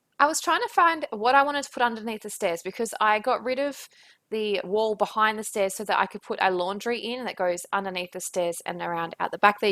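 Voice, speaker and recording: In a very clean recording with a silent background, a woman with an Australian accent talks at a fairly quick pace with hardly any pauses, her fairly high voice bright and sharp, her intonation lively. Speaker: gaming YouTuber. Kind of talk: voice-over commentary on a speed build. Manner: casual, with many fillers.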